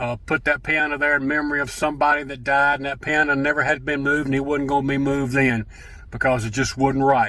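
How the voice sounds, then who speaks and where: Very fast and fairly high, a man with an Alabama accent speaks in a bright, sharp tone with monotone, flat intonation. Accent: Southern US (Alabama). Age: 70s. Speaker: gospel singer and church musician. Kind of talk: casual storytelling monologue. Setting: in a truck.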